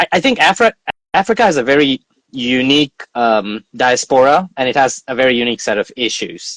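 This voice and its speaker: A man speaks with a fairly high pitch. The sound is dry and close, with no echo. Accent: American. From India. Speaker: business consultant and public speaker. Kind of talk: interview. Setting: online live stream.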